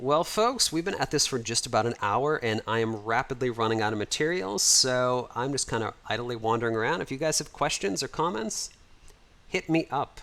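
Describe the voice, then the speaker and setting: A man talks at a fairly quick pace in an ordinary speaking voice. His pitch is medium, with ordinary pitch variation. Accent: American. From United States. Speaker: livestreamer and 3D modeler. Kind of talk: livestream chat and walkthrough. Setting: home livestream. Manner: casual, conversational with fillers.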